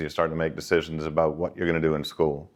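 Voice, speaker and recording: This speaker talks with a Boston accent. The background is quiet. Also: man. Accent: Boston American. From Boston, Massachusetts, US. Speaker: banking executive, career talk speaker. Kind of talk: informal career talk to students. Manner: conversational, with many false starts and repetitions.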